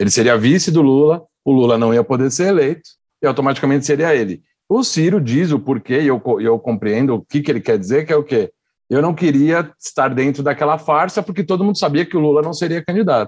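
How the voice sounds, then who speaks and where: Against a quiet background, a man speaks in a plain, everyday voice, fairly high in pitch, at a fairly quick pace, with lively intonation and very even loudness. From São Paulo. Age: young. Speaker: works at a TV production company. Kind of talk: casual chat.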